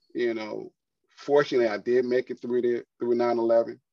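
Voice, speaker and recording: A man with an American accent speaks at a medium pitch, his tone dark and mellow. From United States. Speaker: retired army veteran and entrepreneur. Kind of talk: interview.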